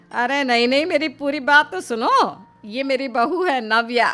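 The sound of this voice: A cartoonish character voice, bright and sharp, with lively intonation at a fairly slow pace over faint background music. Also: woman, high pitch for a woman.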